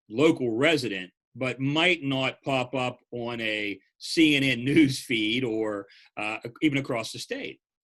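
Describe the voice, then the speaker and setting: Against a quiet background, a man with an ordinary speaking voice talks at a medium pitch with lively intonation. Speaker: press association executive director. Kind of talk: interviewer.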